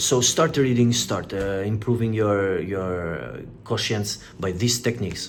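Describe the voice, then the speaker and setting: Audible room echo surrounds a man with a non-native accent whose fairly low pitch shows ordinary variation. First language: not English. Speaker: self-help youtuber. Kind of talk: motivational talk. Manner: halting.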